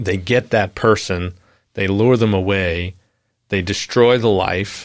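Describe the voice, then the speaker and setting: A man with an American accent, his very deep, low voice flat and monotone, on a very clean recording with a silent background. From New York, Long Island. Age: 40s. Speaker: pastor. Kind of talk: casual chat.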